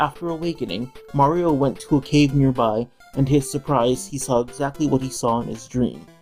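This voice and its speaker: Speech moves at a moderate pace over music in the background. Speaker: let's play gamer. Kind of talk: casual gameplay commentary. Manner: somewhat halting, stuttered.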